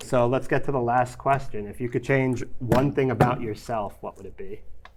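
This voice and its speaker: In a New York accent, a man speaks at a medium pitch and a moderate pace with fairly even intonation. His loudness swings widely. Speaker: podcast host. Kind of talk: casual chat.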